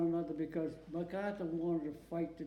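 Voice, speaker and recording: A man speaks in an American accent, high-pitched but with a dark, mellow tone. Room echo is audible. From Massachusetts. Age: 90s. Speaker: war veteran. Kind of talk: oral history interview. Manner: halting.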